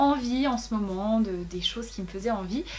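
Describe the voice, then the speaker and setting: Ordinary pitch variation with audible room echo and noticeable background noise. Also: woman. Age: 20s. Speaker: YouTuber. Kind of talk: casual vlog. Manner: fast.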